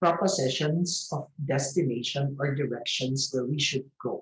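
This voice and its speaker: A man's somewhat breathy voice, fairly high in pitch, with ordinary pitch variation, a fairly slow pace and hardly any pauses. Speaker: theatre festival curator. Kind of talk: online lecture.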